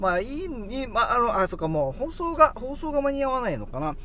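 There is audible room echo around a man's raised, projected voice. His pitch is high. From Okinawa, Japan. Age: 30s. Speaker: radio podcast host. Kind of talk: casual chat.

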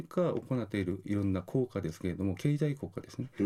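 A man speaks with a Korean accent in a dark, mellow tone. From South Korea. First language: Korean (speaking Japanese). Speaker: university lecturer in tourism marketing. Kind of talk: radio interview. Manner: halting, many fillers.

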